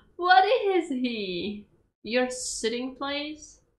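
Over audible room echo, a woman speaks at a very slow pace in a high voice with big pitch swings.

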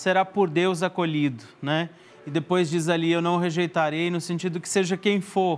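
This man talks with a high pitch. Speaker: priest guest. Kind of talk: interview answer. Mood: warm, cheerful, light laughter. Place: studio. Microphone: lapel.

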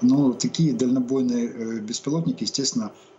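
A voice with lively intonation moves at a moderate pace over light background noise. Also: man. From Ukraine. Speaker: military expert, reserve army major; guest. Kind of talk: live TV interview. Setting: remote link. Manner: halting, many fillers. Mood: calm, slightly scornful. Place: home room. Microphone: webcam.

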